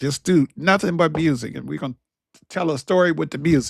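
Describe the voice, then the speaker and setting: A man talks in an animated tone with a Southern US accent and ordinary pitch variation. The recording is very clean, the background silent. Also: dry, close sound with no echo. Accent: country, Southern US. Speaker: motivational/faith talk show host. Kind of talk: motivational talk, sermon-like. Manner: animated, preachy.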